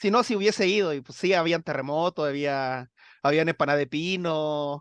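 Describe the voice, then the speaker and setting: Over a quiet background, a man with a high pitch talks at a fairly quick pace, his tone bright and sharp, his intonation lively, the sound dry and close with no echo. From Chile. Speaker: science communicator. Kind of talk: interview.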